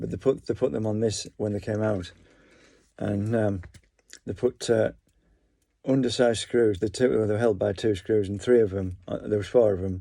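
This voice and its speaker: With long, frequent pauses, a man speaks in a fairly low, dark, mellow voice, his pitch varying in an ordinary way. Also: moderate pace. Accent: English. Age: 50s. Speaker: vlogger. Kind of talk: casual monologue. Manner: halting.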